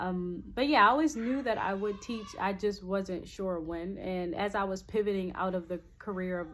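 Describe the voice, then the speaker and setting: A woman with an American accent speaks at a medium pitch with ordinary pitch variation. She hardly pauses at all. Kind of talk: casual channel intro monologue. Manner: fast; hesitant, many fillers.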